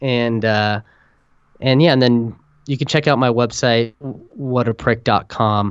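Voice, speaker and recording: A man with a medium pitch and fairly even intonation speaks in an unremarkable speaking voice. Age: 30s. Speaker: author with type 1 diabetes, meditation teacher. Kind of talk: podcast interview. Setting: phone call.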